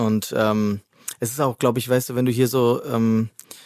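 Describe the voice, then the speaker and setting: In a slight Cologne accent, a man speaks at a fairly slow pace, recorded with a dry, close sound and no echo. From Rhineland, Germany (Hennef). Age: 40s. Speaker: chef. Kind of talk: casual chat. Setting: studio.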